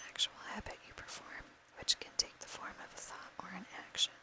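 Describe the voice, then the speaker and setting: A woman whispers as noticeable background noise carries on. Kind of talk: whispered book reading for ASMR. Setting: recorded with a fan running in the background.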